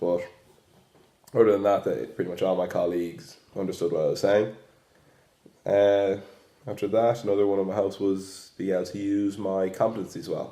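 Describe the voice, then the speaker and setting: A man with an Irish accent speaks with long, frequent pauses. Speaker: student teacher. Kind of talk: reflective monologue.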